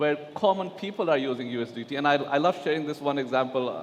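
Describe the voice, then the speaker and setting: Over noticeable background noise, a man talks fairly quickly in a fairly high voice. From Pakistan. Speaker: digital asset executive on panel. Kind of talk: conference panel discussion. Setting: stage at blockchain conference.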